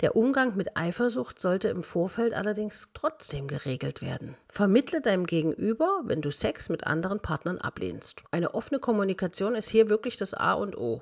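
A woman at medium pitch and moderate pace, her pitch swinging very widely, against noticeable background noise. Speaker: motivational coach, podcast host. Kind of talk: advice monologue.

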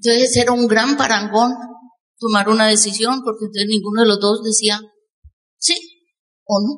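Speaking at a moderate pace, a woman keeps her fairly high voice on a fairly even intonation. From Colombia. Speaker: network marketing speaker. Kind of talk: motivational talk. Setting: stage with audience.

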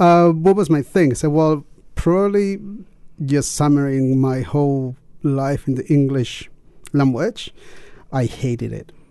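At a fairly slow pace, a man with a fairly high voice and a dark, mellow tone speaks with ordinary pitch variation. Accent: Chilean. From Chile. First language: Spanish. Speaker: teacher, guest. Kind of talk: casual radio chat. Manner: halting.

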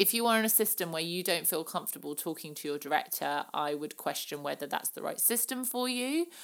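A woman speaks at a fairly low pitch in a southern English accent. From southern England. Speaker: podcast host and former pageant contestant. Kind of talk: casual Q&A monologue. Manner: many filler words.

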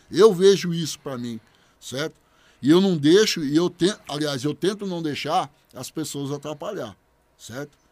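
A man with an unremarkable speaking voice, a fairly high pitch, ordinary pitch variation, a moderate pace and big swings in loudness, on a very clean recording with a silent background. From Bebedouro, São Paulo state, Brazil. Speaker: public servant and former capoeira fighter. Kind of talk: interview testimony.

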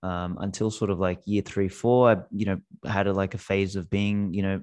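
In a quiet background, a man with an Australian accent talks at a fairly quick pace in a very deep, low voice. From Australia (Macedonian-speaking family). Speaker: Bitcoin company CEO and podcaster. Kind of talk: casual interview chat. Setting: remote call. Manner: animated, profane.

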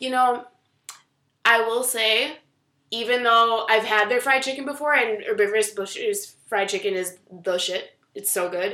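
Long, frequent pauses break up a woman's fairly high, bright, sharp voice as she talks at a fairly slow pace with ordinary pitch variation. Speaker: podcast co-host. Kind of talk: casual chat.

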